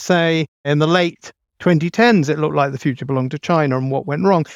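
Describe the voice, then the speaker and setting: A man with a southern English accent speaks at a fairly quick pace and fairly high pitch with lively intonation, in a very clean recording with a silent background. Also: dry, close sound with no echo. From London, England. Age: 50s. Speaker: author and demographer. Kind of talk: interview.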